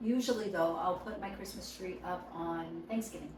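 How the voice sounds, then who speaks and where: The voice comes at a fairly slow pace, with noticeable background noise and audible room echo. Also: woman. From Hawaii. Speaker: podcast guest. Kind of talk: casual chat.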